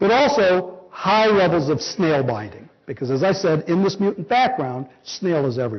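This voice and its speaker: Very wide pitch swings run through this man's high voice. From Los Angeles. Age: 50s. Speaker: biology professor. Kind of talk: lecture. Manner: fast.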